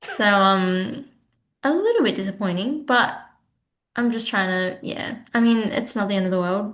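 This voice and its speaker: A woman speaks with an Australian accent. Her pace is moderate and her pitch varies in an ordinary way. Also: fairly high pitch for a woman. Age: 20s. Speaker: honours graduate researcher. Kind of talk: casual chat. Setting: video call.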